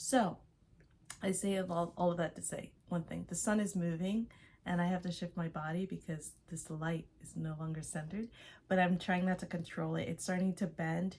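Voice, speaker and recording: Somewhat breathy, a woman speaks with an American accent and fairly even intonation. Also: fairly low pitch for a woman, moderate pace. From Los Angeles, US. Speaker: artist and vlogger. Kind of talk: casual vlog monologue.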